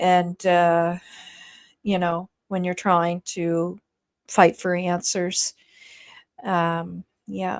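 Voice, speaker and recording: A woman with a strong East Coast Canadian accent and fairly low pitch, very slow and monotone, with long, frequent pauses, in a very clean, dry, close recording with a silent background and no echo. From Nova Scotia, Canada. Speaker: YouTube true-crime commentator. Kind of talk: livestream commentary reading chat. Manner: hesitant, many fillers.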